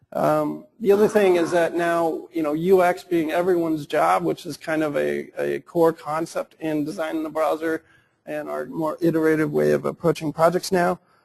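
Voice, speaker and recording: A man speaks with hardly any pauses, the sound dry and close with no echo. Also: moderate pace. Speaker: web developer presenter. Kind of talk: conference presentation. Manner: casual, hesitant with fillers.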